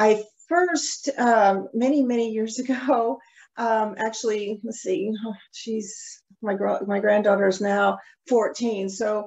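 A woman speaks slowly at a medium pitch, her slightly mellow tone carrying a slightly husky edge and fairly even intonation.

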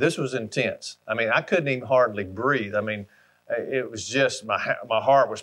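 A man speaks with an Alabama accent. His pace is moderate. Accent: Southern US (Alabama). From US South, Alabama. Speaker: hunting brand ambassador. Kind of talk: storytelling monologue. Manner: folksy, conversational. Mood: warm, nostalgic storytelling. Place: home room.

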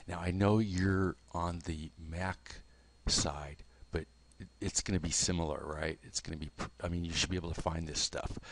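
Soft-spoken and at a moderate pace, a man talks in a very deep, low pitch with monotone, flat intonation. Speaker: software tutor. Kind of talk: tutorial. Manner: halting.

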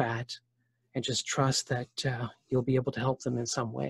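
In a quiet background with a dry sound and no echo, a man with a Canadian accent speaks at a medium pitch, somewhat breathy, in a dark, mellow tone. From Ontario, Canada. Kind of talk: testimony. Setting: video call. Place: home room. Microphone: video call.

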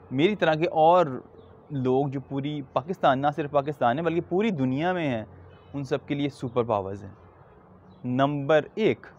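Speaking at a very slow pace, a man uses a fairly high pitch and lively intonation. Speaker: stuttering awareness advocate. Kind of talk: awareness video message.

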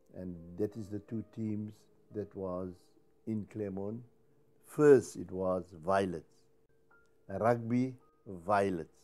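A man's fairly low voice at a very slow pace, with long, frequent pauses, big swings in loudness and music in the background. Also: ordinary pitch variation. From Cape Town, South Africa. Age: 70s. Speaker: Cape Malay choir singer. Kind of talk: interview answer. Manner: humorous. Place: home room. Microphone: lapel.

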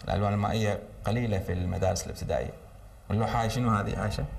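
There is light background noise as a man speaks with fairly even intonation and a fairly low pitch. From Kuwait. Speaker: children's TV presenter; TV presenter. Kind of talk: children's TV show, talking with schoolgirls. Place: studio. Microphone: lapel.

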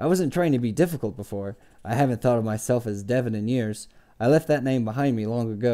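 With ordinary pitch variation, the clip is plain reading aloud.

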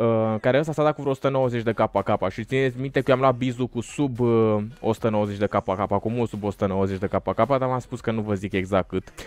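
A man of medium pitch talks at a moderate pace with ordinary pitch variation, hardly any pauses and a dry sound with no echo. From Romania. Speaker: gaming YouTuber. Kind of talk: gameplay commentary. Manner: animated. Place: home room. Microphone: studio mic.

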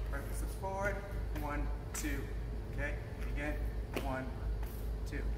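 A man keeps a fairly slow pace despite loud noise in the background. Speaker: martial arts instructor. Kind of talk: tutorial. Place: gym.

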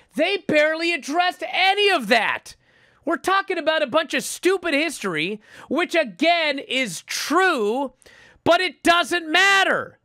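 Shouting in a raised, projected voice, a man with an extremely high pitch and a bright, sharp tone speaks at a fairly slow pace with lively intonation, the sound dry and close with no echo. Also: very clean recording, silent background. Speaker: pro wrestling podcast host. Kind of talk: casual chat. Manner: animated; loud, yelling.

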